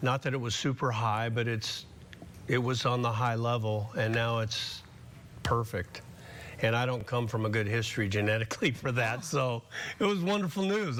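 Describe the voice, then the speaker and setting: This man has an unremarkable speaking voice, with a medium pitch, ordinary pitch variation and a moderate pace. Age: 60s. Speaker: patient. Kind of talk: testimony.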